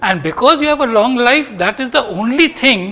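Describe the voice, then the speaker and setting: Lively intonation and a bright, sharp tone mark this man's speech. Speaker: professor. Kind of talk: lecture. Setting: stage with audience. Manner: soft-spoken.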